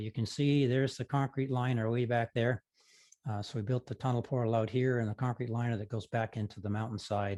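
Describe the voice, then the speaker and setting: A man talks fairly quickly at a medium pitch, with a dark, mellow tone and ordinary pitch variation. The recording is very clean, with a silent background and a dry, close sound with no echo. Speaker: model railroader giving layout tour presentation. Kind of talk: presentation. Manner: fast.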